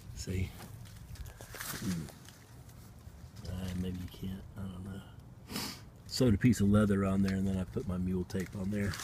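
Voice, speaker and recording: In a Southern US accent, a man speaks at a very deep, low pitch. His intonation is fairly even, broken by long, frequent pauses. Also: moderate pace. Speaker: outdoorsman, bushcraft hobbyist. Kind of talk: casual talk to camera.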